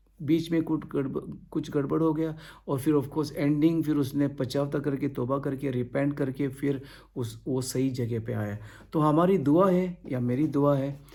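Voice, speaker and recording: The voice has ordinary pitch variation and audible room echo. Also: man. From India (Goa). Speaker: pastor. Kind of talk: sermon. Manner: halting.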